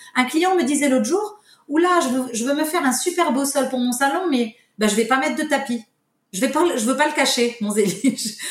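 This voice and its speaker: A woman is speaking at a fairly quick pace. Her pitch is high. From Morocco, Casablanca. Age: 50s. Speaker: tile company owner. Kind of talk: interview. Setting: remote recording. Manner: halting.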